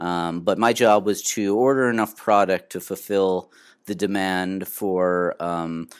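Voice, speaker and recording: Recorded very cleanly with a silent background, a man with a plain, everyday voice speaks at a fairly low pitch with fairly even intonation. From Minnesota. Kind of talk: interview.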